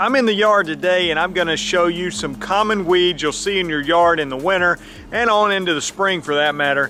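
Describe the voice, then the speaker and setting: A man with a Southern US accent talks at a fairly quick pace with hardly any pauses, using a high pitch and ordinary pitch variation against noticeable background noise. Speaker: lawn care youtuber. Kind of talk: tutorial. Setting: outdoors. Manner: casual, conversational.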